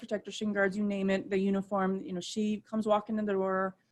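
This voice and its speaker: This woman speaks with a Midwestern US accent. Her pitch sits in the medium range. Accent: US Midwest. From Ohio, Akron. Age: 30s. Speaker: softball umpire. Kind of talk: interview.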